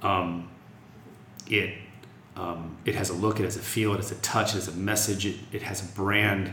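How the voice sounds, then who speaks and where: Over audible room echo, a man talks at a moderate pace in a flat monotone with a fairly low pitch, leaving long, frequent pauses. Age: 40s. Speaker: music festival executive. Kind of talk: interview.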